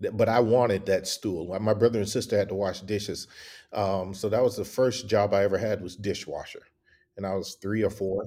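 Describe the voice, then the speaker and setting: In a Southern US accent, a dark, mellow voice speaks fairly quickly with monotone, flat intonation on a very clean recording with a silent background. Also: man, fairly low pitch for a man. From US South. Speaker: copywriter and agency owner. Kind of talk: casual interview.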